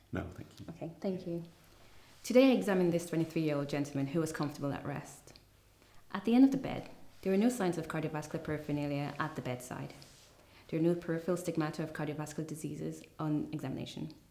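Audible room echo surrounds a woman's voice. She talks at a very fast pace in a very deep, low pitch. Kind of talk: tutorial. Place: studio.

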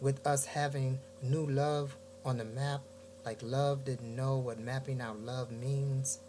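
Over noticeable background noise, a man with an American accent speaks at a fairly slow pace and medium pitch, his intonation fairly even. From US Midwest, Gary, Indiana; Indiana. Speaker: poet. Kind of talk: poetry reading. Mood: reflective, warm. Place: home room. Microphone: webcam.

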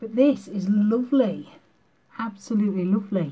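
In a British accent, a woman speaks with a dark, mellow tone and some breathiness. Her pitch varies in an ordinary way. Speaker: beauty vlogger. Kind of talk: makeup tutorial. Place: home room. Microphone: webcam.

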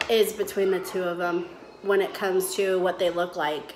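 Against noticeable background noise, a woman talks at a moderate pace with ordinary pitch variation. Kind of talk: casual vlog chat. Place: home room. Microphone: phone near.

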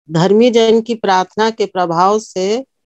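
A woman talks at a very slow pace with fairly even intonation. The sound is dry with no echo, and the background is quiet. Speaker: speaker. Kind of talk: sermon. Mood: calm, earnest devotional. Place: home room. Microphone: phone near.

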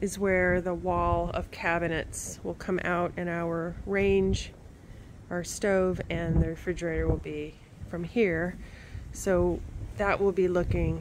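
Over noticeable background noise, the speech unfolds at a very slow pace. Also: woman. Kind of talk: casual walkthrough tour. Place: open country. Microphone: phone near.

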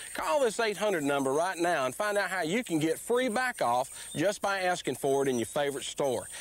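A man talks at a high pitch with very wide pitch swings. His pace is fairly quick, and the sound is dry with no echo. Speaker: company spokesman in commercial. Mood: friendly, thankful. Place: open country.

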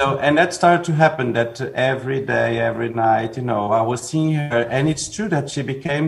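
Speaking with a Portuguese accent, a man keeps a moderate pace. His pitch is medium, with ordinary pitch variation. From Portugal. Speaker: film director; guest. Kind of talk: interview. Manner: halting. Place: home room. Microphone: video call.

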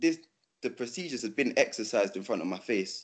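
A man talks at a very fast pace in a London accent. The background is quiet. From England. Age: 20s. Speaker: youth ambassador. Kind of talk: panel discussion answer. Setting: video call. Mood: earnest, frustrated. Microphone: video call.

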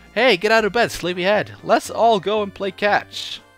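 A man's strained, put-on character voice, pitched high, at a moderate pace with faint music in the background. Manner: cheerful, bossy.

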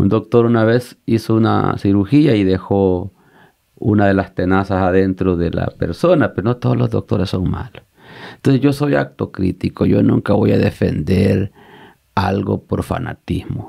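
Speaking fairly slowly, a man uses lively intonation with vocal fry. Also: fairly low pitch for a man. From El Salvador, Usulután. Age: 50s. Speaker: pastor. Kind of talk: interview conversation.

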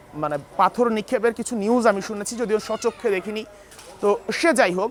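There is noticeable background noise behind this speaker. A man talks in a high voice with ordinary pitch variation. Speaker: news reporter. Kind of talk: field news report. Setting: on location in Kathmandu.

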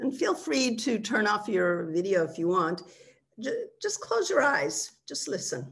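A woman at a fairly high pitch with very wide pitch swings, a warm, calm tone, a fairly slow pace, and a quiet background. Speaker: webinar speaker and mindfulness teacher. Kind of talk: guided meditation, leading listeners through body relaxation and listening to sounds. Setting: video call webinar. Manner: slow, calm, soothing, with gentle pauses; instructive, warm and conversational in the talk. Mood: calm, soothing. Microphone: video call.

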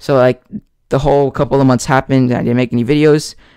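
A man speaks with fairly even intonation. The sound is dry with no echo, and the background is quiet. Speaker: ASMR youtuber. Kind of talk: casual chat to camera. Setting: home recording with microphone. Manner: halting. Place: home room. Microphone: studio mic.

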